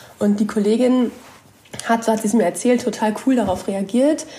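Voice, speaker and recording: There is noticeable background noise behind this woman. Her voice sits fairly high, with ordinary pitch variation. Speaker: journalist. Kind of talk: casual chat.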